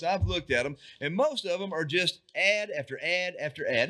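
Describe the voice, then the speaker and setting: With a raised, projected voice and a bright, sharp tone, a man swings his pitch very widely. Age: 60s. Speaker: cannabis news show host. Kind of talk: casual chat. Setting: studio. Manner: animated.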